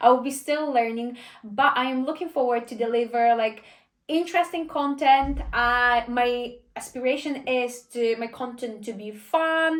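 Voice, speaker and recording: Speaking at a fairly slow pace with a Polish accent, the voice shows ordinary pitch variation. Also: woman, high pitch for a woman. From Poland. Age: 20s. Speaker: vlogger and personal trainer. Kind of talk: casual Q&A vlog. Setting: filmed by a friend behind the camera.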